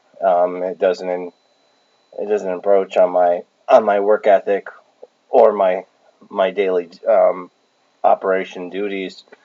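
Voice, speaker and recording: Very deep and low in pitch, a man talks at a fairly slow pace in monotone, flat intonation, with long, frequent pauses. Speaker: vlogger. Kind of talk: casual vlog Q&A. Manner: halting, many fillers and repetitions.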